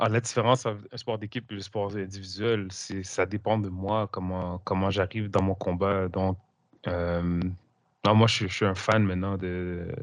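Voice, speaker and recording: Fairly low in pitch, a man talks at a fairly slow pace. His intonation is monotone and flat, over a quiet background. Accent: Quebec. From Quebec. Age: 40s. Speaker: coach and hypnosis teacher. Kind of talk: interview.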